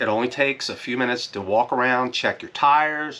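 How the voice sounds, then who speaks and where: Loud, bright, sharp male voice at a medium pitch and moderate pace. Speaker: RV vlogger. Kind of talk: casual chat.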